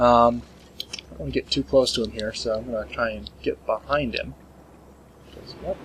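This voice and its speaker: A man speaks over noticeable background noise. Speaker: gaming commentator. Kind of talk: gameplay commentary. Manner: fast; stumbling over words.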